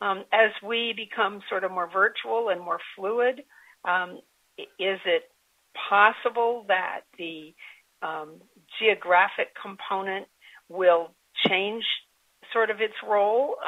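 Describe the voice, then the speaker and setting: A woman speaks at a medium pitch with ordinary pitch variation. She leaves long, frequent pauses. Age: 60s. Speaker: nonprofit board leader. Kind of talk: interview. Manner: hesitant with fillers.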